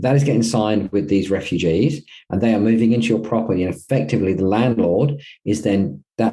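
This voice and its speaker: A man speaks very fast in a fairly low pitch with a dark, mellow tone. His intonation is lively. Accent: Australian. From Australia. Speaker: property management company co-founder. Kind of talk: interview.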